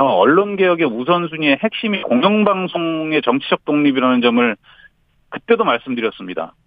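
A man talks at a moderate pace. His fairly high voice makes very wide pitch swings. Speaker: union leader. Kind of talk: interview. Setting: phone call. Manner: formal.

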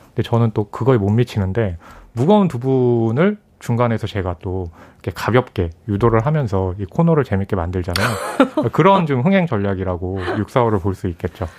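A man with a normal speaking voice uses lively intonation at a medium pitch and a moderate pace. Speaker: film critic. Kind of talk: radio film review discussion. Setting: radio studio.

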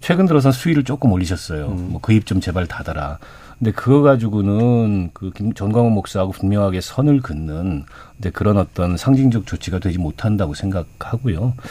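A man with a fairly low pitch speaks in an ordinary speaking voice. His intonation is lively and his pace fairly quick. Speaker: former lawmaker, political panelist. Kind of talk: radio panel debate. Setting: radio studio.

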